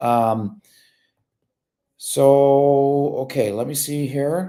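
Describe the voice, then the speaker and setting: A man with a Michigan accent talks at a fairly high pitch in a dark, mellow tone, with ordinary pitch variation. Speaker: immigration lawyer. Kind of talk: live Q&A stream. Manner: casual, with many fillers.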